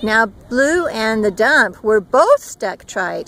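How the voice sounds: A woman's fairly bright voice with lively intonation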